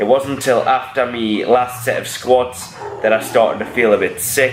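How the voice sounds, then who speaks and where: Over noticeable background noise, a man speaks in a monotone, flat way at medium pitch and a moderate pace. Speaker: powerlifter vlogger. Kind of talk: voiceover commentary.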